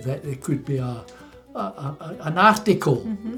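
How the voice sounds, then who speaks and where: Music plays behind a man with a Scottish accent whose fairly high voice rises and falls with lively intonation. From Scotland, Milton of Campsie. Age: 90s. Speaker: retired dairy farmer. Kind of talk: interview answer.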